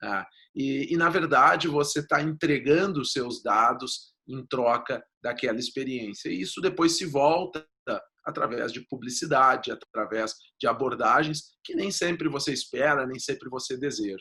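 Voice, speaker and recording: A man's fairly high, bright, sharp voice in a southern Brazilian accent, fairly slow, with ordinary pitch variation and big swings in loudness. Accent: gaúcho Brazilian Portuguese. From southern Brazil (Rio Grande do Sul). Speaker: data protection lawyer. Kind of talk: interview.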